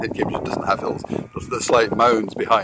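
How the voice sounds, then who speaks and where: A man talks with a fairly low pitch. Noticeable background noise is heard behind him. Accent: Scottish. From Scotland. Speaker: social media broadcaster. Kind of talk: casual live-stream monologue. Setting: outdoors by a river, live stream. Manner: halting, with frequent repetitions and fillers.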